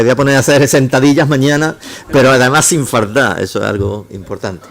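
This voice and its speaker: Noticeable background noise runs throughout. The words come very fast. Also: man. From Córdoba, Andalusia. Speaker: engineering professor. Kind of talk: lecture. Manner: halting, many false starts.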